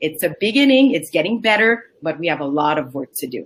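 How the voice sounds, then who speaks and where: A woman with a French accent and very wide pitch swings, music playing behind her. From Quebec, Montreal. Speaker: entrepreneur, cosmetics company founder. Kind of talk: panel introduction.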